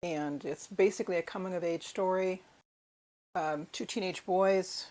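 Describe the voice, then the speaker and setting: A woman with an American accent and an unremarkable speaking voice talks at a medium pitch and moderate pace on a very clean recording with a silent background. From United States. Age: 60s. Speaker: book vlogger. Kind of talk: book haul video. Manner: casual with fillers.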